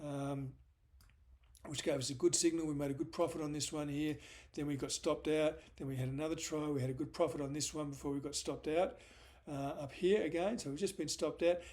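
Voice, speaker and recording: Talking very fast in an Australian accent, a man with a fairly high voice keeps his intonation fairly even. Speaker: stock market analyst. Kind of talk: market analysis video. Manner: hesitant, many fillers.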